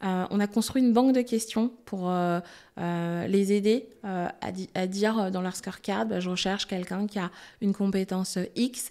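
A woman speaks in a dark, mellow tone with fairly even intonation. The background is quiet. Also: medium pitch for a woman, moderate pace. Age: 30s. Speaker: HR director; guest. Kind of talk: casual interview. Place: studio. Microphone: studio mic.

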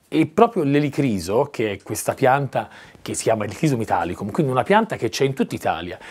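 With very wide pitch swings, a man talks fairly quickly. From Tuscany, Prato; Tuscany. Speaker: actor and director; actor. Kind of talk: casual interview chat. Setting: at his country house by a fireplace. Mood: warm, enthusiastic. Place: home room. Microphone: lapel.

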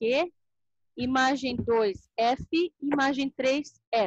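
A woman speaks in a high voice. The sound is dry, with no echo. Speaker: teacher. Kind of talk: online class tutorial. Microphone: video call.

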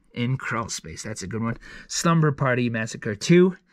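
Against a quiet background, a man speaks with lively intonation in a dry sound with no echo. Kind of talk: casual vlog chat. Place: home room. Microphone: phone near.

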